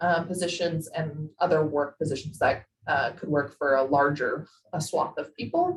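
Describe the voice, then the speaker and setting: A woman's very deep, low voice, somewhat breathy, monotone and flat, at a moderate pace. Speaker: policy advisor. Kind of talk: presentation in virtual meeting. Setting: video call.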